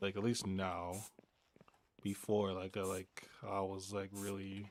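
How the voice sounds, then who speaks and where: A man with a normal speaking voice, a fairly low pitch, fairly even intonation and a fairly slow pace. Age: 30s. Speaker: gaming streamer. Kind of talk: casual live-stream chat.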